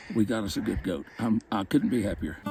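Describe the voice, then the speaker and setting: Using vocal fry, a man speaks at a moderate pace with lively intonation. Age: 70s. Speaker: hunting client. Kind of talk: interview. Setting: outdoors.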